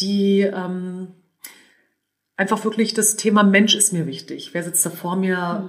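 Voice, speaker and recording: A woman speaks in a plain, everyday voice at a medium pitch. Her pace is fairly slow. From northern Germany, suburb of Hannover. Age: 40s. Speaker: entrepreneur and business angel. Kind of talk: interview. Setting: in person.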